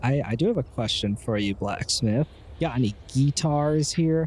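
Somewhat breathy, a man speaks at a moderate pace. His pitch variation is ordinary. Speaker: tabletop game player. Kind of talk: tabletop roleplaying game.

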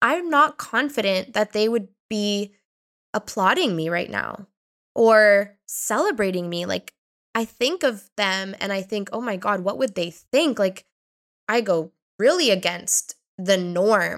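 A woman with a Canadian accent speaks at medium pitch, fairly slowly, with lively intonation and an unremarkable speaking voice. The sound is dry and close with no echo, on a very clean recording with a silent background. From Canada, Ontario. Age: 30s. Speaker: podcast host and life coach. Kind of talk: casual monologue.

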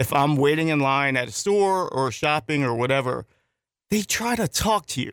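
At a moderate pace, a man speaks in an unremarkable speaking voice with very even loudness and a dry, close sound with no echo. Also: fairly high pitch for a man, lively intonation, very clean recording, silent background. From northern US. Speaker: radio co-host. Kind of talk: casual chat. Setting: studio.

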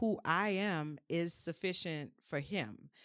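A woman with a New Orleans accent speaks at a very slow pace and a fairly low pitch. The recording is very clean, with a silent background. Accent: New Orleans Southern US. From New Orleans, US South. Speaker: mental health and wellness creative. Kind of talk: casual chat.

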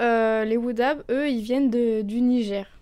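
A woman talks softly at a high pitch, her tone dark and mellow. Her pace is fairly slow. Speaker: university student, culture columnist. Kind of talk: prepared column. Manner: soft-spoken.

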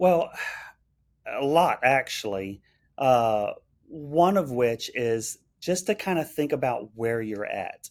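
On a very clean recording with a silent background, a man with a Texan accent speaks very slowly in a fairly high pitch, with lively intonation and long, frequent pauses. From central Texas. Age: 40s. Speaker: restaurant owner-operator. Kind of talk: interview conversation.

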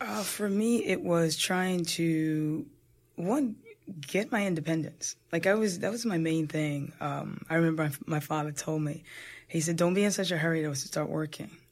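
With an American accent, a woman talks at a moderate pace in an unremarkable speaking voice. Her pitch is fairly low with ordinary pitch variation. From New Jersey suburbs. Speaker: boxing coach and gym owner. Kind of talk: interview.

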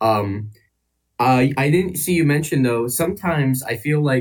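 A man talks with an American accent at a medium pitch. His voice is somewhat breathy, with ordinary pitch variation. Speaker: caller. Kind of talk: call-in discussion. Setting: online voice call.

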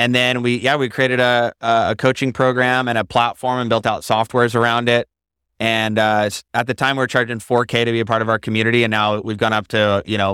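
A man with an American accent speaks at a fairly quick pace in a medium pitch, flat and monotone, with a bright, sharp tone. The sound is dry and close with no echo, on a very clean recording with a silent background. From Idaho, US. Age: 30s. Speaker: entrepreneur and business coach. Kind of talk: interview, casual chat. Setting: studio.

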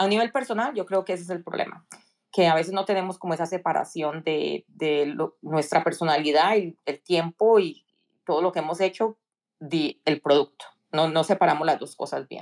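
In a plain, everyday voice, a woman speaks at a moderate pace with ordinary pitch variation, the sound dry and close with no echo. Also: fairly low pitch for a woman. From Colombia, Cali. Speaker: tech professional. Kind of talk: interview.

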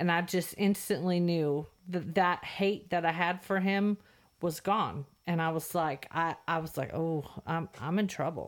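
A woman uses a normal speaking voice, fairly low in pitch, with fairly even intonation. She goes at a fairly slow pace on a very clean recording with a silent background. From California. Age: 40s. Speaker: host's wife, guest. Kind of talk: testimony. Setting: studio.

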